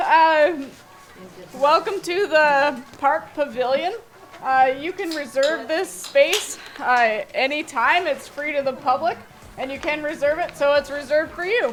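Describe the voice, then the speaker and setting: Music plays behind a woman with a high-pitched voice. She speaks at a fairly slow pace with ordinary pitch variation. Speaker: community council chair. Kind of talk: public meeting chairing. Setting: outdoor pavilion with audience.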